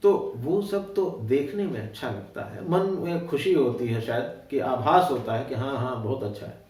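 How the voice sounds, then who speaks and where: Through noticeable background noise and audible room echo, a man speaks with lively intonation. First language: Awadhi (speaking Hindi). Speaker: writer. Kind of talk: interview. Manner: hesitant with frequent fillers.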